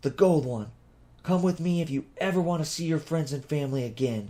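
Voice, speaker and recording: Someone uses a put-on character voice at a fairly quick pace. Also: man, fairly high pitch for a man. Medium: read story.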